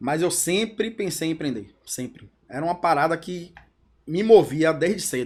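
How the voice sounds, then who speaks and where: Speaking at a moderate pace, a man uses a high pitch and lively intonation. The recording is very clean, with a silent background. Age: 40s. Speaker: entrepreneur, company co-founder. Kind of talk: podcast interview. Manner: casual, conversational.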